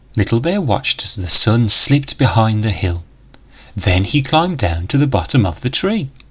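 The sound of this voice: Big pitch swings mark this bright, sharp voice with a slightly husky edge, delivered at a fairly slow pace.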